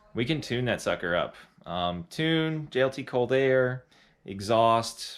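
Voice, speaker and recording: On a very clean recording with a silent background, a man with a plain, everyday voice speaks at medium pitch with lively intonation. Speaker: performance shop owner hosting live stream. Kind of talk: live stream update and Q&A. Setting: auto shop, live stream. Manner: casual, lots of fillers.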